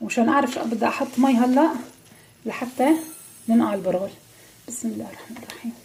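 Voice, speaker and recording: Over noticeable background noise, a woman talks at a fairly quick pace in a high pitch. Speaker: cooking channel host. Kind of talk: cooking tutorial. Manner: quiet.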